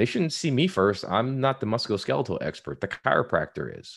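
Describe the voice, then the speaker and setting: Man with an American accent at a fairly quick pace, against a quiet background. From US, Ohio and Texas (Houston area). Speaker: physician and pharmacist. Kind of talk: interview conversation.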